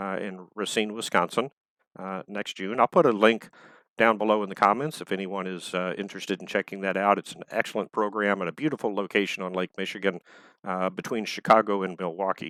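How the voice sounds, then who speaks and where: A man with a Texan accent speaks at a fairly quick pace in a bright, sharp tone with a fairly low pitch, fairly even intonation and big swings in loudness, in a dry, close sound with no echo. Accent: Texan Southern US. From Texas. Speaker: author and fiction editor. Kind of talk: prepared talk to online audience. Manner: halting, many fillers.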